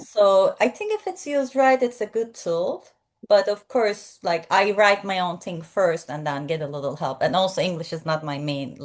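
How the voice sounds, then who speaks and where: Against a quiet background, a woman with a non-native accent speaks at a moderate pace and medium pitch, her intonation lively. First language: not English. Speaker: podcast host and film reviewer. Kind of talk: casual interview chat.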